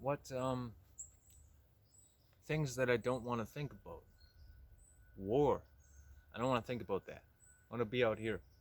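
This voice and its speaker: A man speaks at a moderate pace with a medium pitch and fairly even intonation. He leaves long, frequent pauses. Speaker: vlogger. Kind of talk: casual solo monologue while hiking. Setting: outdoors in the woods. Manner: monotone.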